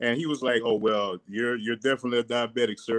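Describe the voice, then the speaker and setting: A man speaks at a medium pitch with a strong south Louisiana accent. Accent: strong south Louisiana accent, unchanged. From Louisiana, Cecilia near Lafayette. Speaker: fitness and mindset guest. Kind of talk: casual interview on a livestream. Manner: animated.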